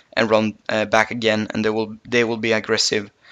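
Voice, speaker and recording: A man speaks at a medium pitch. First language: not English. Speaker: gaming YouTuber. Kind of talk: tutorial. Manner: halting, many fillers.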